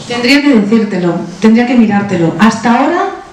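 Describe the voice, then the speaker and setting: A woman's fairly high, fairly quick speech amid noticeable background noise and audible room echo. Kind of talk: conference talk Q&A. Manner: fast.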